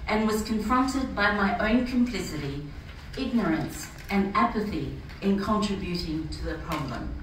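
The voice has lively intonation. Audible room echo and noticeable background noise surround it. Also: woman. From Fiji, Rotuman. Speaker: church speaker. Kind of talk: prepared speech. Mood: earnest, reflective. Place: hall. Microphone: camera far.

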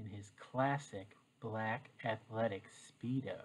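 The voice is soft-spoken and somewhat breathy. It moves at a very slow pace. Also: man. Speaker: teacher. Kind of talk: reading aloud. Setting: home, living room floor. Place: home room. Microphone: webcam.

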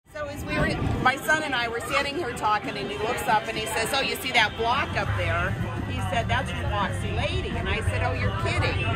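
Loud music plays in the background as a woman talks at a fairly quick pace. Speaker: travel vlogger. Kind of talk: casual vlog chat. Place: boat. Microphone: phone near.

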